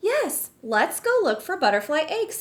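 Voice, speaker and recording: In a put-on character voice, a woman sounds squeaky and cheerful at an extremely high pitch, with very wide pitch swings and a moderate pace. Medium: read story. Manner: patient, cheerful, explanatory.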